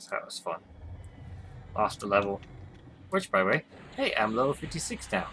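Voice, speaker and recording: Through noticeable background noise, a man can be heard talking at a moderate pace. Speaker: gaming YouTuber. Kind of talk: gameplay commentary. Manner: mumbling. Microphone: webcam microphone, picks up poorly.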